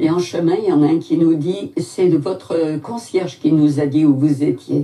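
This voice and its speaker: A woman's fairly low, dark and mellow voice, very slow in pace, with ordinary rise and fall in pitch. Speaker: Holocaust survivor. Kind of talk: testimony.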